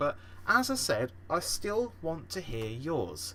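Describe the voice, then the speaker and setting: Very wide pitch swings from a man with a British accent. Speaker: gaming podcast host. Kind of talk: casual solo podcast. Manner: halting, many fillers.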